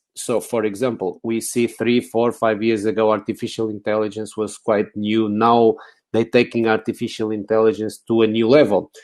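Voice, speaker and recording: A man with a Portuguese accent speaks at a medium pitch and a moderate pace in a monotone, flat intonation, with hardly any pauses over a quiet background. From Portugal, Lisbon. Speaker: technology speaker. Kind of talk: conference talk. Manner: hesitant, many fillers.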